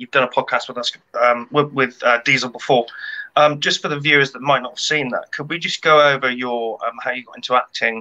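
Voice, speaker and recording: A man with a British accent talks at a fairly quick pace in a fairly high pitch, his bright, sharp tone staying monotone and flat while his loudness swings widely. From UK. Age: 30s. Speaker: podcast co-host. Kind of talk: casual interview chat. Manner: hesitant, many ums. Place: home room. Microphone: webcam.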